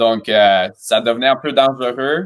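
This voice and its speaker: A man speaks fairly slowly in an unremarkable speaking voice. The background is quiet. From Romania, then Montreal from age 12. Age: 20s. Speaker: cheerleading coach and choreographer; cheerleading coach. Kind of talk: interview. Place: home room.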